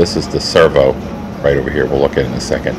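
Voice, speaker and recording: Noticeable background noise behind a man at a very deep, low pitch and fairly quick pace. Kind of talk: tour narration voice-over.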